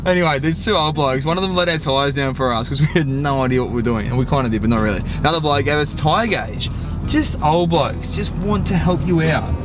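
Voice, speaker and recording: Music plays behind a man who speaks at a very fast pace with hardly any pauses and ordinary pitch variation, the sound dry with no echo. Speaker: travel vlogger. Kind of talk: casual vlog chat. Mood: playful, joking. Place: car. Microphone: phone near.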